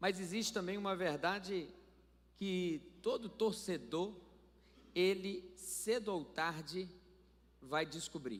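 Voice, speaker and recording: A man's high-pitched voice at a very slow pace, long, frequent pauses and ordinary pitch variation throughout. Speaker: pastor. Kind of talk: sermon. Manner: animated.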